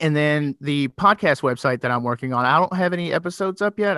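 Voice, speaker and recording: In a dry, close sound with no echo, a man with a slight Southern US accent talks at a fairly quick pace in a bright, sharp tone and a fairly high pitch. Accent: slightly Southern. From Kentucky, Louisville. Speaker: former paramedic and podcaster. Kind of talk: casual chat. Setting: remote call.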